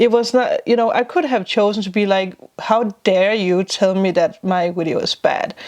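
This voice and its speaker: A woman with a non-native accent, a fairly high pitch and ordinary pitch variation, talking at a moderate pace. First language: not English. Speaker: spiritual vlogger and tarot reader. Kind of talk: casual vlog talk.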